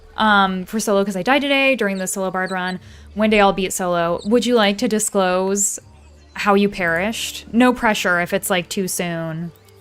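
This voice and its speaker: Music plays in the background as a woman speaks at a medium pitch. She keeps a moderate pace with ordinary pitch variation. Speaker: video game streamer. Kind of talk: live gameplay stream chat.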